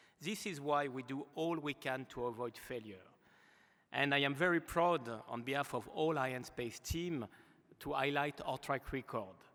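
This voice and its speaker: A man with a slight French accent speaks with a bright, sharp tone. His voice is fairly high, with ordinary pitch variation. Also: moderate pace. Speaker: aerospace executive. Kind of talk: award acceptance speech. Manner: formal.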